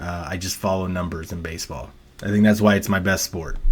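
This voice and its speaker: With an ordinary speaking voice, a man talks at a fairly low pitch and with fairly even intonation. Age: 30s. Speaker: sports betting analyst. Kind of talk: casual monologue. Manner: casual, filler-heavy with repetitions.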